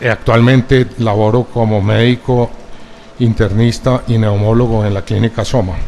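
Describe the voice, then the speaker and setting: A man speaks at a fairly slow pace in a medium pitch, his intonation flat and monotone. Noticeable background noise sits behind him. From Colombia, Medellín. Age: 70s. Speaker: pulmonologist, expert witness. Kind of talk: court testimony. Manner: formal.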